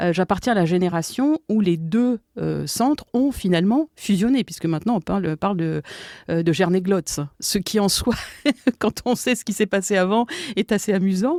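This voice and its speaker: On a very clean recording with a silent background, a woman speaks at a medium pitch with ordinary pitch variation. Her tone is dark and mellow, her pace fairly slow. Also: dry, close sound with no echo. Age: 60s. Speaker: history professor. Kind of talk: podcast interview. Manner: hesitant, many fillers.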